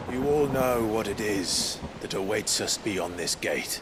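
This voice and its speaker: Over loud background noise, a man puts on a character voice at a medium pitch. He speaks at a fairly slow pace. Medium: short film. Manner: earnest, steady.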